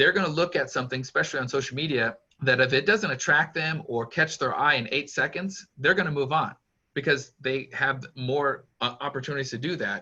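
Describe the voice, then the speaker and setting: A man's bright, sharp tone at a fairly high pitch, with ordinary pitch variation and a fairly quick pace. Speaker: youth pastor. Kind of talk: interview. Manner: fast.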